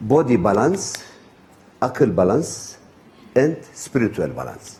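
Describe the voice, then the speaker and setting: There is audible room echo as a man speaks at medium pitch with very wide pitch swings. His pace is fairly slow. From Turkey. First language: Turkish. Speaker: traditional healer. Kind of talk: lecture. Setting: retreat gathering with audience. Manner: halting, hesitant.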